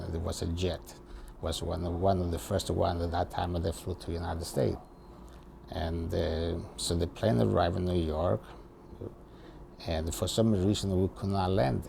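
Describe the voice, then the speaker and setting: A man speaks at a moderate pace in a very deep, low voice, with long, frequent pauses. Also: ordinary pitch variation. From Italy. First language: Italian. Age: 70s. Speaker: retired barber, immigrant. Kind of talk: interview. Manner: warm; halting.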